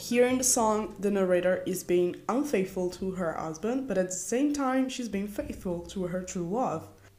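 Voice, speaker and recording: Her voice medium in pitch, a woman with an Italian accent speaks with lively intonation and hardly any pauses. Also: moderate pace. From Italy. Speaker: podcast co-host. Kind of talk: casual chat.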